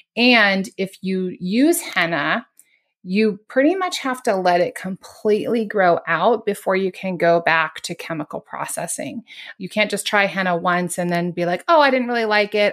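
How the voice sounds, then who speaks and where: A woman speaks at a fairly slow pace in a plain, everyday voice, medium in pitch with ordinary pitch variation. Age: 40s. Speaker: podcast host, toxin-free living advocate. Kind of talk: casual interview.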